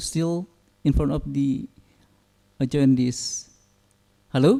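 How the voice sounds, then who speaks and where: A man talks at a moderate pace with an Indonesian accent. His tone is dark and mellow. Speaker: conference moderator. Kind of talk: moderating Q&A. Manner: hesitant, many fillers.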